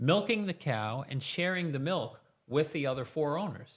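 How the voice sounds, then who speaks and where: A man with a plain, everyday voice, fairly high in pitch, lively in intonation and fairly slow in pace, on a very clean recording with a silent background. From New York State, US. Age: 50s. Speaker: chiropractor. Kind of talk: interview conversation. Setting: studio.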